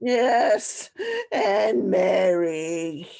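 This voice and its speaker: A put-on character voice from a woman, medium in pitch with lively intonation. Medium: audio drama. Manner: imperious, scornful.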